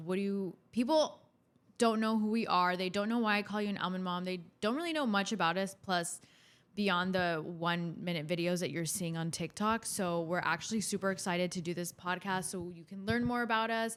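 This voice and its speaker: A woman with an American accent and an unremarkable speaking voice, medium pitch, ordinary pitch variation and a moderate pace, in a very clean recording over a silent background. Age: 20s. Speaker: podcast co-host, daughter. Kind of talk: casual chat.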